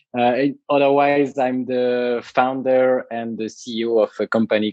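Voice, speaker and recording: In a French accent, a man speaks at a medium pitch with fairly even intonation. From France. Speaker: tiny house company founder. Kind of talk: podcast interview. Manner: hesitant, many fillers and repetitions.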